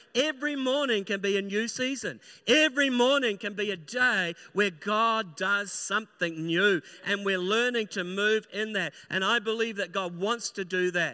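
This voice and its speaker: A man projects his voice loudly at a high pitch. His tone is bright and sharp, with ordinary pitch variation. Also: moderate pace. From New Zealand. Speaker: pastor. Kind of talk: sermon. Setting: church.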